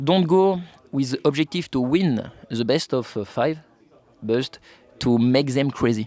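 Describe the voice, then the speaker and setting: With a French accent, a man speaks in a dark, mellow tone at a medium pitch with ordinary pitch variation, in a dry, close sound with no echo. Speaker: esports player in the air force. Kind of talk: casual chat. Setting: outdoor barbecue. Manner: halting.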